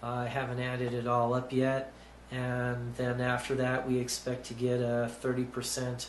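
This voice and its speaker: Over light background noise and audible room echo, a man talks at a fairly slow pace with monotone, flat intonation. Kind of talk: explanatory vlog talk. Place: office. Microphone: phone near.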